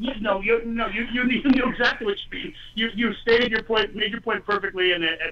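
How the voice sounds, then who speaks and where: A man shouts in a raised, projected voice pitched high, talking at a fairly quick pace with hardly any pauses. Noticeable background noise sits behind him. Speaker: political candidate. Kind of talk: call-in talk radio debate. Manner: loud, yelling; passionate, animated.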